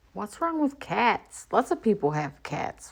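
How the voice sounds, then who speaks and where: Speaking fairly slowly in an Appalachian accent, a woman sounds animated, with lively intonation. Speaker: streamer. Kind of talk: heated debate. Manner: sarcastic, animated.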